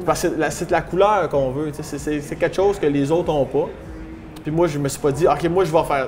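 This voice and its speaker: A man with a Quebec accent, fairly quick, with fairly even intonation, music in the background. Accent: regional Quebec French. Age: young. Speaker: stand-up comedian. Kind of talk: interview answer. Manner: casual, humorous.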